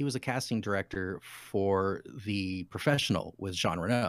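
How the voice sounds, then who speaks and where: A normal speaking voice from a man, at a moderate pace with ordinary pitch variation. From Utah. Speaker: actor and former navy sailor. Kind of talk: casual interview chat. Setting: video call.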